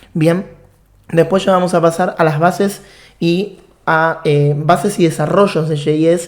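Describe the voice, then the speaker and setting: A man with an Argentine accent speaks at a fairly high pitch. Room echo is audible. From Argentina. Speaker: programming instructor. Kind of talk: online course lecture.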